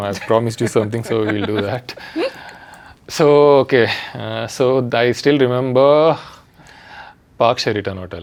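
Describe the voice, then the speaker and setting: With a South Indian accent, a man talks at a moderate pace and medium pitch, ordinary pitch variation, and long, frequent pauses. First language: Telugu. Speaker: international cricketer. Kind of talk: casual chat. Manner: halting.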